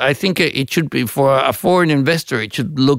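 In a Spanish accent, a man talks at a medium pitch with vocal fry, the sound dry and close with no echo. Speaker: ambassador. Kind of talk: interview. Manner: halting, many fillers.

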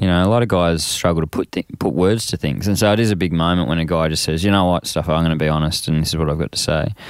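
In an Australian accent, a man is heard with a dry, close sound and no echo. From Australia, Frankston (Melbourne). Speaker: men's workshop facilitator. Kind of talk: casual interview.

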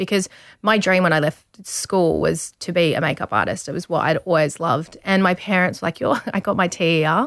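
Someone with an Australian accent speaks at a moderate pace with fairly even intonation. The sound is dry and close, with no echo. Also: woman. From country Victoria, Australia. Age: 30s. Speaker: model and TV presenter. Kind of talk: casual interview chat. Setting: studio.

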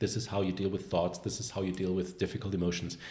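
The voice is somewhat breathy, with a German accent. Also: man. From Germany, Bavaria border. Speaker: confidence coach, former animator. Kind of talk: casual interview. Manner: talkative, animated.

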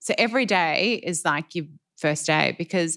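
The speaker has an Australian accent and a fairly slow pace. The recording is very clean, with a silent background. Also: woman. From Ballarat, country Victoria, Australia. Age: 40s. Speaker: fashion designer. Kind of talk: interview. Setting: live at fashion event.

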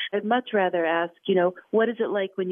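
A woman's normal speaking voice with an American accent, medium in pitch, with ordinary pitch variation at a fairly quick pace. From US Midwest, Chicago. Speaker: radio journalist and podcast host. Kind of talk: interview conversation.

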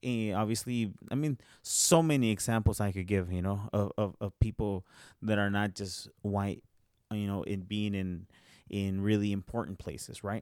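Recorded very cleanly against a silent background, a man with a fairly low pitch and an ordinary speaking voice talks with fairly even intonation. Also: moderate pace, dry, close sound with no echo. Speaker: podcast host. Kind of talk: casual podcast conversation.

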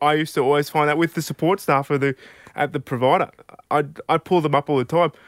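Very fast and fairly high-pitched, a man speaks with an Australian accent and fairly even intonation. The recording is very clean, with a silent background and a dry, close sound with no echo. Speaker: aspiring stand-up comedian. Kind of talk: stand-up comedy, telling anecdotes with dialogue. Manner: conversational, laid-back, deadpan punchlines.

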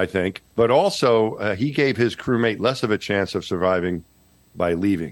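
A man speaks at a fairly low pitch and moderate pace. His loudness stays very even, with ordinary pitch variation. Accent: slight New York. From New York, Long Island. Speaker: former astronaut. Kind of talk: casual interview. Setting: remote call, audio only.

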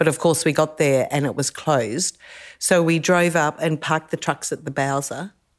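At a moderate pace, a woman talks with a very deep, low pitch and fairly even intonation on a very clean recording with a silent background. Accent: Australian. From Adelaide, South Australia (born in England, emigrated aged 3-4). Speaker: rally co-driver. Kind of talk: casual interview chat. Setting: at home, outdoors by pool then inside.

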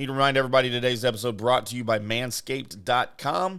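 This man has a plain, everyday voice at a medium pitch. He talks at a fairly quick pace. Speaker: sports podcast host. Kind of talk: ad read pitchman, brisk sponsor plug in a daily sports show. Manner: upbeat salesy patter, rattling off promo code and perks.

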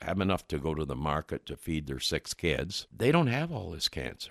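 A man with a very deep, low pitch and vocal fry is heard in a very clean, dry and close recording with no echo and a silent background. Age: 70s. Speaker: nutrition expert. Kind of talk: interview.

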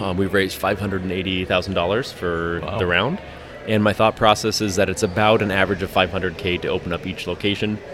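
A man with a very deep, low pitch, monotone, flat intonation and moderate pace, music in the background. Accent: American. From Colorado, Denver area. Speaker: brewery owner. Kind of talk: casual chat. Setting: brewery.

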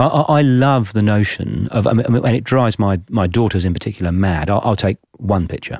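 Fairly quick speech from a man with an English accent, fairly low in pitch, with ordinary pitch variation and hardly any pauses. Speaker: podcast host. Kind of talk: interview.

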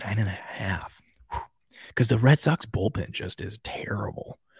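A man with an American accent speaks in a fairly low, somewhat breathy voice at a moderate pace. His tone is animated with lively intonation, in a very clean recording with a silent background. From Washington State. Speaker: sports podcast host. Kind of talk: casual sports talk livestream.

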